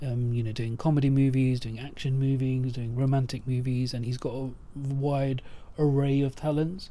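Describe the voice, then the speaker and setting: A man talks at a moderate pace and medium pitch with a dark, mellow tone. His intonation is monotone and flat, and there is audible room echo. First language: Punjabi. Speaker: podcast host. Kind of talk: casual chat. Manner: halting, many fillers.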